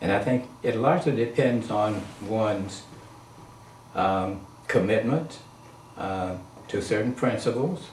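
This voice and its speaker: A man with a fairly low voice talks in a room with audible echo, his pitch moving in an ordinary way. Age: 80s+. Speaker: interviewee on spirituality. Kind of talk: casual interview.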